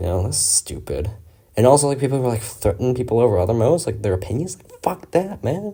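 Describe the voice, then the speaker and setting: This man has a medium-pitched voice with a dark, mellow tone, vocal fry, and very wide pitch swings. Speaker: gaming commentator. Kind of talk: casual monologue. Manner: halting; rambling filler-heavy.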